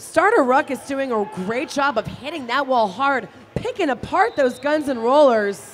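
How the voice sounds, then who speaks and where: In a high pitch, a woman talks with an animated, playful tone and lively intonation, with hardly any pauses. Light background noise sits behind her. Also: moderate pace. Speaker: roller derby commentator. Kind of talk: live roller derby commentary with sponsor reads. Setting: live arena event. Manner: animated, chatty and playful, explains rules. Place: hall.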